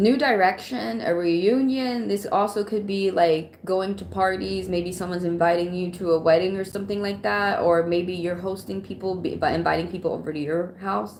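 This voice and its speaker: This woman has a medium pitch and ordinary pitch variation, moving at a moderate pace with hardly any pauses. Audible room echo and noticeable background noise are present. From Atlanta, US South. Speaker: tarot reader. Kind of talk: live stream tarot reading. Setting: live stream. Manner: casual, conversational.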